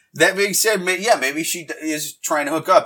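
The man's tone is animated, bright and sharp. He talks at a moderate pace. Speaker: podcast host, comedian. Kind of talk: casual comedic banter. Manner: animated, profane, jokey.

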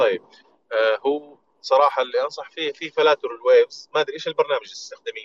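In a dry, close sound with no echo, a man talks at a fairly quick pace with big swings in loudness. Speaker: voice-over artist. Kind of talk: casual chat. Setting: online audio room.

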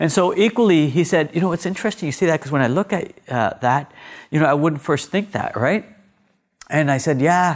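In a very clean recording with a silent background, the speaker talks fairly quickly with a Canadian accent. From Canada, Ontario (Malton, Toronto area). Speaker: diversity manager and public speaker, former amateur boxer. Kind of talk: interview.

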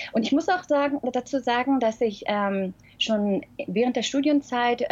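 A woman's somewhat breathy voice. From Germany. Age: 40s. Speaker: flight attendant and blogger. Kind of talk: interview.

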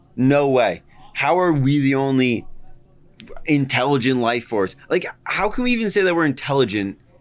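A man with a normal speaking voice and an American accent talks at a moderate pace in a fairly high pitch, with lively intonation and very even loudness. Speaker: podcast co-host. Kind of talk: casual chat.

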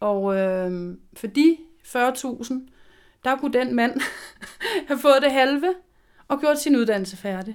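With lively intonation and a high pitch, a woman speaks very slowly, leaving long, frequent pauses. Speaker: social worker. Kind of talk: interview.

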